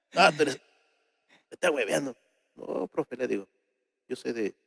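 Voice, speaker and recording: A man's voice at a moderate pace with big swings in loudness, in a dry, close sound with no echo. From Peru, Ayacucho (Huanca Sancos). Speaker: folk singer. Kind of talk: interview.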